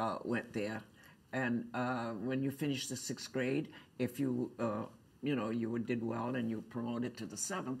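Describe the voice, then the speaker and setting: This woman has a very deep, low pitch and an American accent. Her intonation stays fairly even. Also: moderate pace. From Cape Cod, Massachusetts. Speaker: artist and quilting teacher. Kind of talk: oral history interview answer. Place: meeting room. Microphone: lapel.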